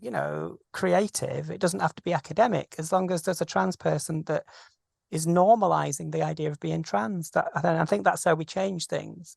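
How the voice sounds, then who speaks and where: The speaker has a British accent, with a quiet background. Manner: fast.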